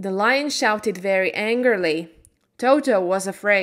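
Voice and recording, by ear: Someone is reading aloud in a natural voice with ordinary pitch variation over a quiet background.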